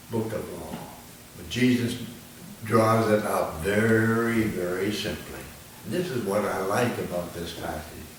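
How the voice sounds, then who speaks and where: Amid noticeable background noise, a man of medium pitch talks at a fairly slow pace, with long, frequent pauses and big swings in loudness. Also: lively intonation. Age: 80s+. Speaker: minister. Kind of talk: sermon.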